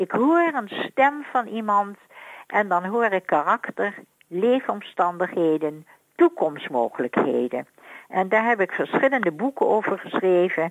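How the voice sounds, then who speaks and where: A woman speaks at a medium pitch with very wide pitch swings. The sound is dry and close, with no echo. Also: fairly slow pace. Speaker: voice analyst. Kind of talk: radio interview.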